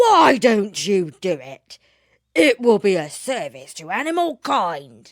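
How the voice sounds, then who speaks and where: A put-on character voice, fairly high in pitch, with very wide pitch swings and a fairly slow pace. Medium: read story.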